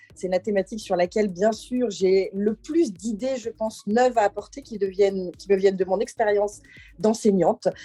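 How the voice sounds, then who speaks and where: A woman speaks at medium pitch with ordinary pitch variation and a dark, mellow tone. The sound is dry and close with no echo, and her pace is moderate. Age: 50s. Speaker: political candidate. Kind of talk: campaign statement. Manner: hesitant, many fillers.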